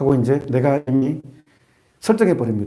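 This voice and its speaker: In a room with audible echo, a man with a dark, mellow tone talks at a medium pitch with lively intonation. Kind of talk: sermon. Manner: fast; animated.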